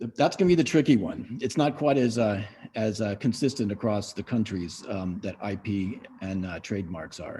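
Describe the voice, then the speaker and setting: A man with an American accent, fairly low pitch, a dark, mellow and somewhat breathy tone, lively intonation, and a moderate pace. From US West Coast, San Francisco. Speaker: business owner. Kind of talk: webinar panel talk.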